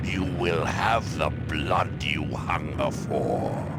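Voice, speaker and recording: Using a put-on character voice, a man speaks at a very slow pace against loud background noise. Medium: machinima. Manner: grave, commanding.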